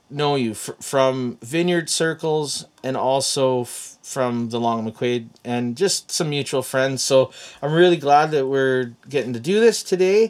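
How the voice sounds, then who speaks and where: With a Canadian accent, a man speaks at a fairly slow pace and a fairly high pitch, with ordinary pitch variation and hardly any pauses. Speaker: podcast host, former pastor. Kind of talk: casual interview chat.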